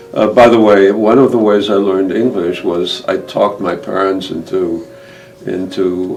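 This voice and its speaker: Over noticeable background noise and audible room echo, a man speaks at a fairly low pitch with fairly even intonation. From Germany. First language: Yiddish. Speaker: Holocaust survivor. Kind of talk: interview testimony. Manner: halting, many fillers.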